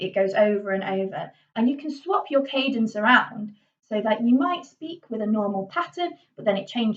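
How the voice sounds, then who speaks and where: A woman speaks in a strong Yorkshire accent. Her fairly high voice has lively intonation. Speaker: drama teacher. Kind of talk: tutorial. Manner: informal, hesitant with fillers.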